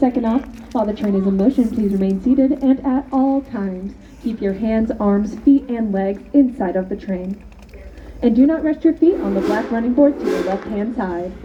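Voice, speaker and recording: A woman with a fairly high voice speaks at a moderate pace with lively intonation over noticeable background noise. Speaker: train conductor. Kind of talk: PA announcements to passengers.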